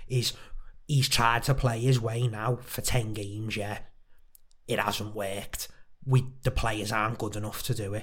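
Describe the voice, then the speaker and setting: A man with a Liverpool accent at a fairly slow pace, with long, frequent pauses. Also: medium pitch for a man. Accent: Scouse. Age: 20s. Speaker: podcast co-host. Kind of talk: casual chat. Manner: animated.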